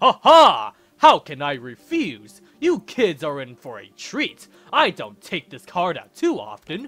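A man talks in a put-on character voice, pitched high. His pace is fairly slow. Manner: warm, jovial.

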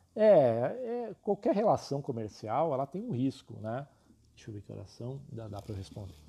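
A man's dark, mellow tone at a moderate pace, with very wide pitch swings and big swings in loudness, against a quiet background. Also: medium pitch for a man. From São Paulo city, Brazil. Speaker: illustration teacher. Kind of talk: live stream class and sales talk. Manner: talkative, informal.

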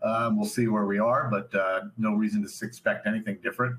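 A man talks over noticeable background noise. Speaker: company CEO presenting. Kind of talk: corporate investor presentation. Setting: online webcast.

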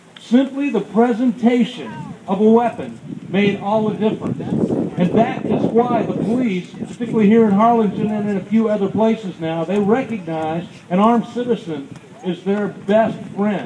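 Over noticeable background noise, a man speaks in a high pitch with an American accent. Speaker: radio show host and rally speaker. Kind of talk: fiery rally speech to a crowd, persuasive and sermon-like. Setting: outdoor rally with crowd. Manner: animated, emphatic, rhetorical call-and-response; passionate, preacherly, rousing. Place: street. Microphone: camera far.

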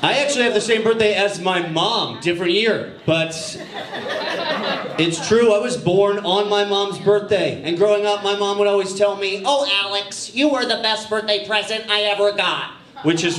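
Heard with audible room echo and light background noise, a man speaks in a high pitch. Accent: American. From Massachusetts. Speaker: stand-up comedian. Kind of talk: stand-up. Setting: stage with audience. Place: stage. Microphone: handheld.

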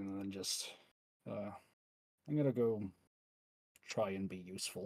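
A man's fairly low voice with a slightly mellow tone and a slightly husky edge.

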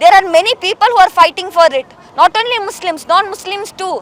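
Over noticeable background noise, a woman speaks at an extremely high pitch with ordinary variation, and the sound is dry and close with no echo. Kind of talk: protest speech. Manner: indignant, fiery.

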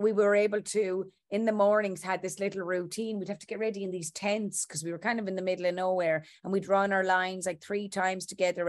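A woman talks very fast with hardly any pauses in a flat, monotone intonation. The background is quiet. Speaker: interviewed actress. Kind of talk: interview answer. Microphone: video call.

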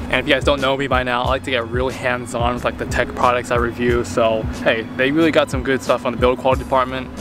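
Music plays behind a man who talks at a very fast pace with hardly any pauses. His intonation is monotone and flat, and the sound is dry with no echo. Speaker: tech reviewer vlogger. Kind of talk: casual vlog chat. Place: open country. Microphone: phone near.

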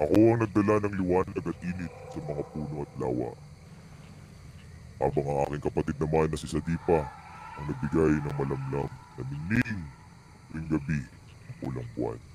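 Using a put-on character voice, the speaker leaves long, frequent pauses over clear background noise. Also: man, very deep, low pitch for a man, moderate pace. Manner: solemn, paternal, grave.

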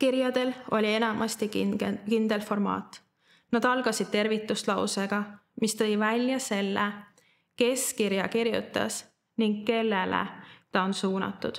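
A woman speaks at a fairly high pitch. Her intonation is flat and monotone. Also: very even loudness, quiet background. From Estonia, Tallinn; Estonia. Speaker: church member giving a Bible teaching. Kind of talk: sermon. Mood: calm, earnest. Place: studio.

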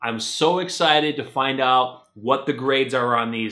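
The background stays quiet. One man does the talking. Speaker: comic collector vlogger. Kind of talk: casual vlog chat. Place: home room. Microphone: camera far.

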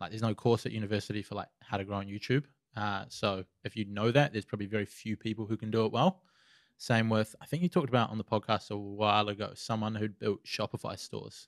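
A man speaks very fast with a fairly low pitch and fairly even intonation. The sound is dry with no echo, and the background is quiet. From New Zealand. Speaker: social media marketer. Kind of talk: casual interview. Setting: studio. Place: studio. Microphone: studio mic.

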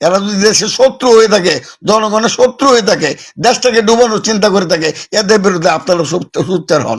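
A man speaks with a high pitch that varies in an ordinary way. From Bangladesh, Mymensingh (Ishwarganj). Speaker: war veteran, former local chairman. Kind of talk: facebook live complaint. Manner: impassioned.

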